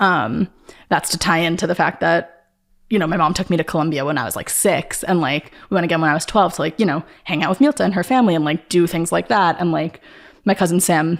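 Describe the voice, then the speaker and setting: Talking very fast with an American accent, a woman uses a fairly low pitch with ordinary variation. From Long Island, New York. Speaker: artist. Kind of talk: casual chat. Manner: filler-heavy, uses like a lot.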